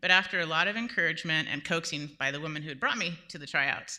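A woman with an American accent speaks very fast in a fairly low pitch, her tone bright and sharp on a very clean recording with a silent background. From Southern California. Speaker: storyteller. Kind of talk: live storytelling. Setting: stage with audience in a church.

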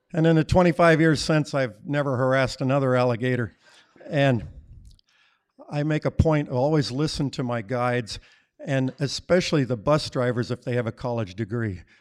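A plain, everyday voice belongs to this man, pitched in the medium range. He speaks at a moderate pace with ordinary pitch variation. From Colorado. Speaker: storyteller, retiree. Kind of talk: live storytelling on stage. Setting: stage with audience.

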